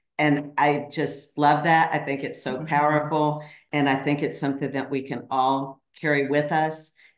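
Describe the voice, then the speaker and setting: With hardly any pauses, a woman talks in a very deep, low pitch and a monotone, flat intonation, and the room echo is audible. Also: moderate pace. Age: 50s. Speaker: podcaster and coach; podcaster, coach. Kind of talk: casual chat. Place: home room. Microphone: video call.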